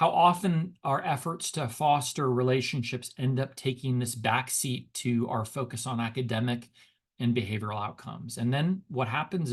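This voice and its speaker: The voice is somewhat breathy at a moderate pace. Its pitch varies in an ordinary way. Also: man. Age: 50s. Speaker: education researcher and speaker, former high school teacher. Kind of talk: webinar lecture. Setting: online webinar. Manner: conversational with frequent fillers and repetitions.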